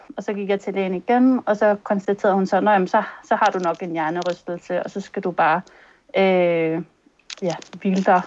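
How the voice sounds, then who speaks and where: In a normal speaking voice, a woman talks at a moderate pace with a medium pitch and fairly even intonation. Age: 30s. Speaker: concussion patient. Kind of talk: testimony in interview. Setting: video call.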